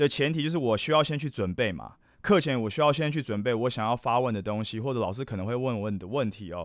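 A man talking at a very fast pace, animated in tone and lively in intonation, on a very clean recording with a silent background. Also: medium pitch for a man. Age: 40s. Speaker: podcast host. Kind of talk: casual solo podcast monologue.

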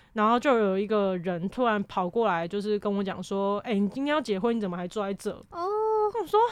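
With noticeable background noise, a woman speaks at a medium pitch and a fairly quick pace, using ordinary pitch variation and hardly any pauses. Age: 20s. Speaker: university student. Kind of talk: casual chat.

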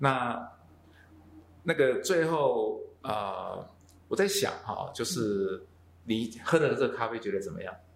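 Speech comes at a very slow pace with long, frequent pauses. Audible room echo and noticeable background noise fill the recording. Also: man. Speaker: podcast host. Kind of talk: casual interview. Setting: coffee shop in Taichung.

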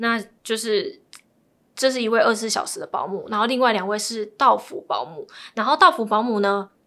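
At a fairly quick pace, a woman talks with a bright, sharp tone, fairly high pitch and ordinary pitch variation. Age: 20s. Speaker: divorcee sharing her story. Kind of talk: interview.

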